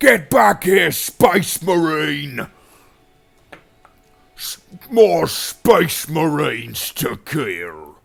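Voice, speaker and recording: A raspy, put-on character voice at a middle pitch, delivered at a very slow pace. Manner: gruff, aggressive.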